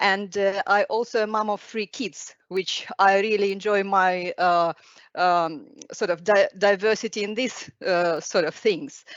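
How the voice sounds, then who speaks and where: Fairly slow, fairly even speech in a non-native accent. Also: woman, medium pitch for a woman. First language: not English. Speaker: specialty doctor in intensive care. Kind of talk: webinar talk. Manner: halting.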